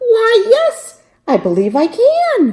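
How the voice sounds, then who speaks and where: A squeaky, put-on character voice rings out at an extremely high pitch. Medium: read story. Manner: precise, wordy.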